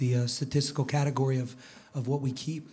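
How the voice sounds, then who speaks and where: Monotone and flat, a man's fairly high voice has a dark, mellow tone and a somewhat breathy quality, with audible room echo around it. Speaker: college basketball head coach. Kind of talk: press conference.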